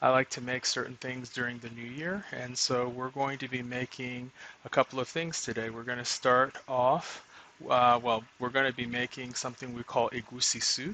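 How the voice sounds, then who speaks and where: A man's bright, sharp voice at a medium pitch, with fairly even intonation and a moderate pace. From southeastern Nigeria (Igbo). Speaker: home cook streamer. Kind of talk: live cooking tutorial. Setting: live stream at home. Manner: casual, many fillers.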